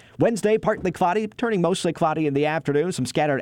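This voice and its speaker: The background is silent on this very clean recording. A man rushes along at a very fast pace. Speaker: TV meteorologist. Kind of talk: scripted weather report. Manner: brisk, even, formal broadcast delivery; reads forecast as a steady run of day-by-day lines.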